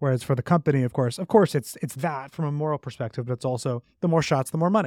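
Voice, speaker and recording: Spoken very fast with an American accent and ordinary pitch variation, the voice has a dry, close sound with no echo on a very clean recording with a silent background. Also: man, fairly high pitch for a man. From US, New York City. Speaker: author and policy researcher. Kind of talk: interview.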